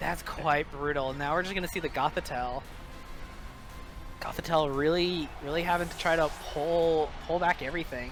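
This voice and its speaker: Music plays in the background while the speaker uses fairly even intonation and long, frequent pauses. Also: man, fairly high pitch for a man, moderate pace. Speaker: esports match commentator. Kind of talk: live game commentary.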